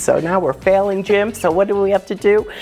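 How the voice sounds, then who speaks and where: With music in the background, a woman in an American accent speaks at a fairly quick pace, her medium-pitched voice animated in tone. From New Jersey. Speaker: travel agent. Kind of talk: casual chat.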